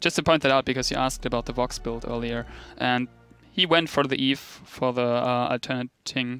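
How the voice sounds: With a German accent, this man speaks at a moderate pace and a medium pitch, his intonation fairly even, while music plays in the background.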